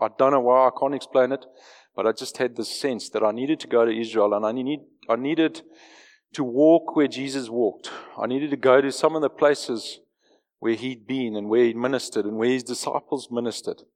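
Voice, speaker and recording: With fairly even intonation, a man speaks at a fairly quick pace. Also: medium pitch for a man. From South Africa, Johannesburg. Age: 40s. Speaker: lay preacher and businessman. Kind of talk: sermon. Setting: church.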